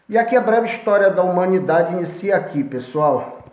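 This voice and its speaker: Audible room echo carries a man's high-pitched voice with ordinary pitch variation. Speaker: history teacher. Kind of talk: lecture.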